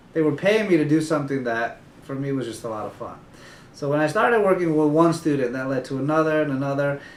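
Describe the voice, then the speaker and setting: Amid audible room echo, a man rattles along at a very fast pace with a fairly high pitch and ordinary pitch variation. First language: Spanish. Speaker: tutoring company founder. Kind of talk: interview.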